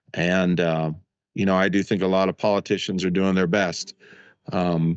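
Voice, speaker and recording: Very deep and low, a man's voice moves at a moderate pace with monotone, flat intonation. His loudness stays very even throughout. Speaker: concert video production company owner and author. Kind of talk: interview conversation.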